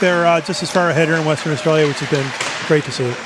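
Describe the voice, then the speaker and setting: A man speaks over noticeable background noise. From Eastern Canada. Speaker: ice hockey commentator. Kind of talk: live sports commentary. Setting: commentary box at ice rink.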